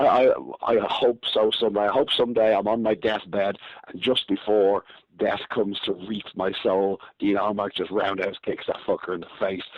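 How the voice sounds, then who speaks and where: In a Dublin accent, a man speaks at a moderate pace with a fairly low pitch and fairly even intonation. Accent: Irish (Dublin). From Ireland, Dublin. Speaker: professional wrestler. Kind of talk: podcast interview.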